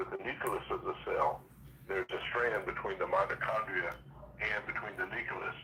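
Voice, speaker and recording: Noticeable background noise runs under this man's moderately paced speech. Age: 70s. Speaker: health professional and product seller. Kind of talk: phone-in interview.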